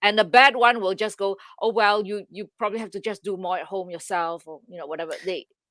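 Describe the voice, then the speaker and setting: A speaker with a non-native accent talks at a very fast pace in a bright, sharp tone, with ordinary pitch variation. Loudness swings widely, and the recording is very clean over a silent background. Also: woman, medium pitch for a woman. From Malaysia. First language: not English. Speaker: author. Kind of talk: podcast interview.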